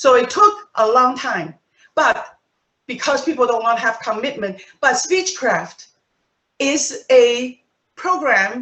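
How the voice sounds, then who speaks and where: A woman's high voice at a very slow pace, with very wide pitch swings and long, frequent pauses. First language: not English. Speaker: Toastmasters club presenter. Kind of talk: presentation to club members. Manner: conversational, some false starts.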